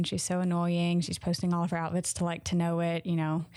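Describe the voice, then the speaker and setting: A woman speaks at a moderate pace in a Southern US accent, her pitch fairly low. The recording is very clean, with a silent background. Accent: Southern American. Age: 20s. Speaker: podcaster. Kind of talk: casual monologue.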